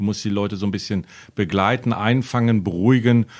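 A man with a normal speaking voice talks at a fairly quick pace in a fairly low pitch with fairly even intonation on a very clean recording with a silent background. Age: 40s. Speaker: football referee and official. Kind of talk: casual chat.

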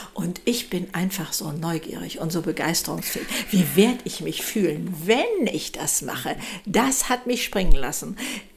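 Over noticeable background noise, a woman at a medium pitch talks at a moderate pace with lively intonation. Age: 70s. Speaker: speaker and model. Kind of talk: casual chat.

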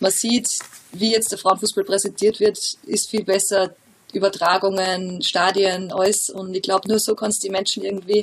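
A woman with a mid-range pitch talks while clear background noise carries on around her. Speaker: professional footballer. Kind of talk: interview.

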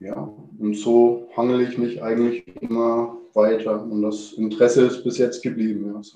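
Speaking at a moderate pace with hardly any pauses, a man holds a medium pitch in a monotone, flat intonation. His loudness swings widely. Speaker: chef. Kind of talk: interview. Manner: hesitant, many filler words.

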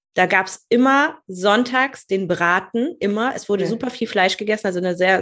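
Over a quiet background, a woman with a plain, everyday voice speaks at a moderate pace and a medium pitch. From northern Germany, rural Lower Saxony. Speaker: business mentor. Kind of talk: podcast interview.

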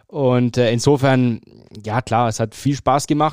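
A man speaks at a medium pitch in a monotone, flat intonation. The sound is dry and close with no echo, on a very clean recording with a silent background. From Franconia, Germany (Fürth). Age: 30s. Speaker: sports journalist and stadium announcer. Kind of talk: casual interview.

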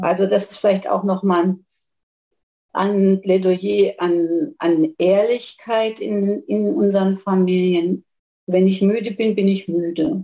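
At a very slow pace, a woman speaks in a dark, mellow tone with a medium pitch. Her loudness stays very even, and her pitch varies in an ordinary way. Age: 60s. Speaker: family therapist. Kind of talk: casual interview.

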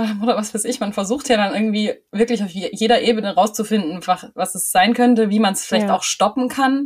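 Very fast speech over noticeable background noise. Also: woman. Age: 30s. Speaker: trainee music teacher and cloth diaper advisor. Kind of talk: casual chat.

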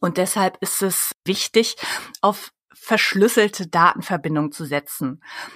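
This is a woman with a plain, everyday voice, pitched in the medium range. Her pitch varies an ordinary amount, and the sound is dry and close with no echo. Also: fairly slow pace. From Germany. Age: 30s. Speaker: public relations consultant. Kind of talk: interview.

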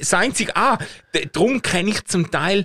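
Lively intonation marks a man speaking at a fairly quick pace, the sound dry and close with no echo. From Schaffhausen, eastern Switzerland. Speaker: podcast co-host. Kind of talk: casual chat.

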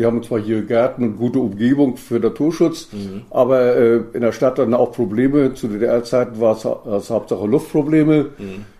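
A man's dark, mellow voice at medium pitch, moderate in pace, with ordinary pitch variation. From northern East Germany, Rostock area. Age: 80s+. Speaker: former East German minister and environmental activist. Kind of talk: interview. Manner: halting, many hesitations.

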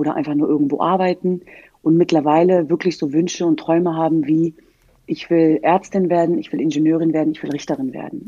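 The voice has a dark, mellow tone. The pace is moderate. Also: woman. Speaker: former pro footballer and human rights activist. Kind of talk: casual chat.

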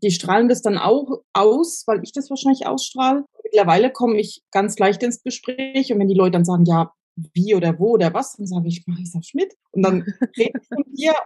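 Somewhat breathy, with a dark, mellow tone, a woman speaks at a moderate pace and a fairly high pitch with lively intonation in a dry, close sound with no echo. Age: 40s. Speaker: spiritual training student. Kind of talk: casual chat.

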